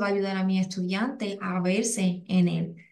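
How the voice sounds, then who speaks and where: A woman's dark, mellow tone comes through with monotone, flat intonation and audible room echo. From Puerto Rico. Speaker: educator, English as a second language specialist. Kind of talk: webinar presentation. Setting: online webinar. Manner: halting, many fillers and repetitions.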